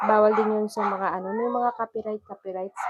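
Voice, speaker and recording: A woman talks at a medium pitch and a moderate pace. Her intonation is monotone and flat. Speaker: cooking vlogger. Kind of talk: cooking vlog demo. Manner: halting, many fillers.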